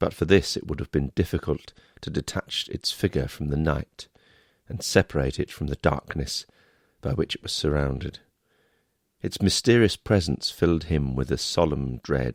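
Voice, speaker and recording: Recorded with a dry, close sound and no echo, a man speaks at a moderate pace in a very deep, low voice with vocal fry and ordinary pitch variation. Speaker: audiobook narrator. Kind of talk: audiobook reading of a classic novel.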